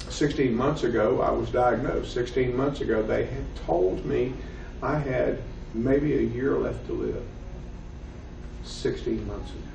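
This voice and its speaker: In a Southern US accent, a man speaks at a fairly slow pace with long, frequent pauses, and audible room echo surrounds his voice. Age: 50s. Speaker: professor. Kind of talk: lecture. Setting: classroom.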